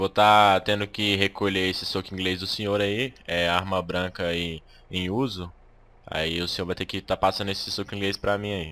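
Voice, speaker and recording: Over a silent background on a very clean recording, a man speaks in a very deep, low pitch with a bright, sharp tone and monotone, flat intonation. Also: moderate pace. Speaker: gaming YouTuber. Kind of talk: gameplay commentary with roleplay.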